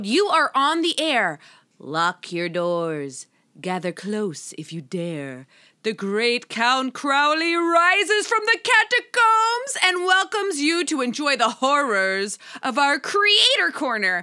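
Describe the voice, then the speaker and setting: Very wide pitch swings mark this female-sounding put-on character voice. It is high for a woman and moves at a fairly slow pace. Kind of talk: dramatic host patter. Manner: theatrical, ominous.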